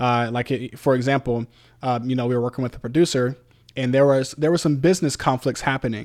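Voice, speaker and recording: With an American accent and a normal speaking voice, a man talks at medium pitch and a fairly quick pace. His intonation is fairly even, and the recording is very clean with a silent background. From Virginia Beach, Virginia. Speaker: podcast co-host and musician. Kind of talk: casual chat.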